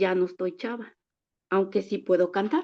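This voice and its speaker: This woman speaks at a fairly slow pace. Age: 60s. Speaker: church member. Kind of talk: testimony.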